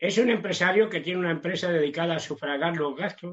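This man's voice sits high in pitch, and his delivery runs fairly quick. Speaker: preacher. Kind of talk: sermon. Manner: halting, many repetitions.

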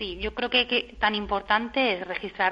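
A woman with a plain, everyday voice speaks at a medium pitch and a moderate pace with fairly even intonation. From Spain, Murcia. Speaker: lawyer, industrial property consultant. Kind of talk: radio interview.

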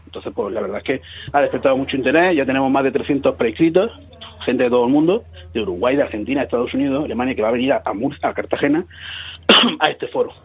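A man at a fairly high pitch, very fast pace, and lively intonation, with noticeable background noise. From Cieza, Murcia, Spain. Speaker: marketing company founder. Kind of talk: radio interview. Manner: animated.

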